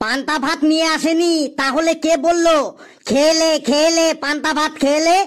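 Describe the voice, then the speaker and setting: It's a cartoonish character voice with a high pitch. The pace is very slow. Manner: scolding, sarcastic.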